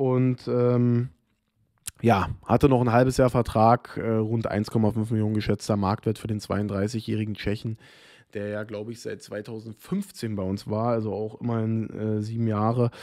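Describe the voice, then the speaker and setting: A man's medium-pitched voice with a dark, mellow tone, fairly slow and in monotone, flat intonation, against a quiet background. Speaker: football vlogger. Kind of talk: solo commentary video. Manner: informal, chatty, opinionated. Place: home room. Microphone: studio mic.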